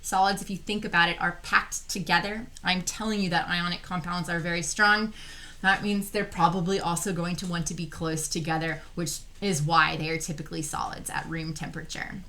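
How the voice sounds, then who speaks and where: Audible room echo surrounds this woman's voice. She has an American accent and a fairly low pitch. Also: fairly quick pace. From Texas. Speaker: chemistry teacher. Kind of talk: lecture. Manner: animated.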